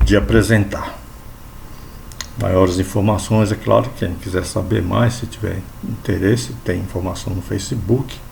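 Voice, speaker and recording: A man with a very deep, low voice speaks at a fairly slow pace, leaving long, frequent pauses, with ordinary pitch variation. Noticeable background noise and audible room echo surround him. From São Paulo, Brazil (born in Bahia). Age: 60s. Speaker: lay evangelical preacher. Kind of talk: religious talk to camera.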